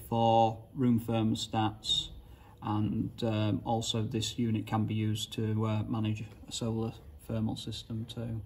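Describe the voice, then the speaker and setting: A somewhat breathy male voice. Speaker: product installer or trainer. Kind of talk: tutorial. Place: hall. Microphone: phone near.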